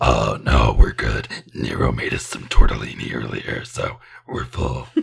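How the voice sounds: A man puts on a character voice, very deep and raspy. He speaks at a moderate pace.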